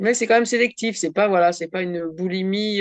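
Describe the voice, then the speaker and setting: Here a woman speaks at a medium pitch. Her pitch variation is ordinary. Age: 60s. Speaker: workshop participant. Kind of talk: casual chat. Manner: halting.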